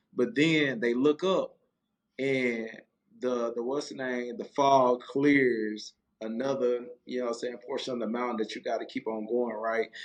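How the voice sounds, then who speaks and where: This man's voice sits at a medium pitch with ordinary pitch variation. He talks at a fairly slow pace. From East Texas (Marshall), raised in Fort Worth. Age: 30s. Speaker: former college football player, loan officer and youth trainer. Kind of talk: podcast interview. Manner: halting, many fillers.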